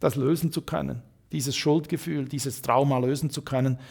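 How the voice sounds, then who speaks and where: In an ordinary speaking voice, a man with a fairly high pitch talks at a moderate pace. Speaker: author and career coach. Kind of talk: interview. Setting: hotel.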